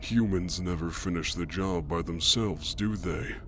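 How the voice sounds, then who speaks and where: A put-on character voice from a man, very deep and low, over clear background noise. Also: moderate pace. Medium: read story.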